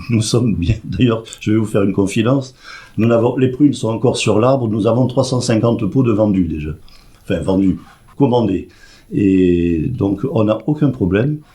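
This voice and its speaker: A man with a slight southwestern French accent speaks at a moderate pace and medium pitch. His voice is somewhat breathy with a dark, mellow tone and ordinary pitch variation. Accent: slight singing southwestern French. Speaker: president of a seniors' club. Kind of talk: radio interview.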